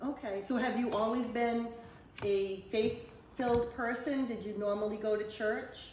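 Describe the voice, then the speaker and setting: Over noticeable background noise, a woman speaks at fairly high pitch. Her delivery is monotone and flat at a fairly slow pace. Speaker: council on aging director. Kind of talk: interview questions.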